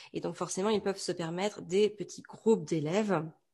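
Against a quiet background, a woman talks at a moderate pace in a dark, mellow tone of medium pitch with fairly even intonation. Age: 30s. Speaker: entrepreneur and mother. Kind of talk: interview.

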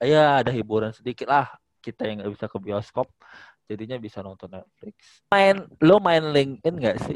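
A man talks at a moderate pace and medium pitch, with very wide pitch swings. His loudness swings widely, and the sound is dry and close with no echo. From Palembang, South Sumatra. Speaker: airport employee. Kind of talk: casual chat.

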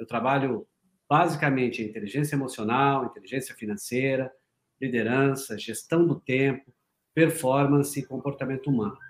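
His is a plain, everyday voice, pitched in the medium range. The man keeps a moderate pace and fairly even intonation. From Paraná, Brazil. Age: 40s. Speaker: leadership and performance mentor. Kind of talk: interview conversation.

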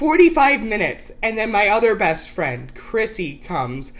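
An American accent with very wide pitch swings over noticeable background noise. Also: woman. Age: 30s. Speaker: podcast co-host, aspiring actress. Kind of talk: casual chat. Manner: giggly, laughing often.

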